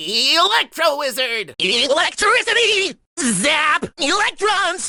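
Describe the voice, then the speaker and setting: At a very slow pace, a man performs a put-on character voice. Its pitch is extremely high. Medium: voice reel. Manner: excited, energetic.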